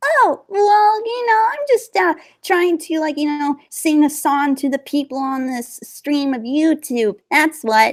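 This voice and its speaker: In a put-on character voice, squeaky and high-pitched, the speaker goes at a fairly slow pace with hardly any pauses. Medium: audio drama. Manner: hesitant, full of fillers.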